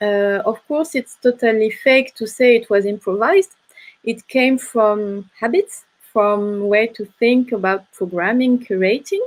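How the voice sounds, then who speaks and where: A woman with a French accent speaks at a fairly high pitch and a fairly slow pace. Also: ordinary pitch variation. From France. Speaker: film curator. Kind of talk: panel discussion. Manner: hesitant.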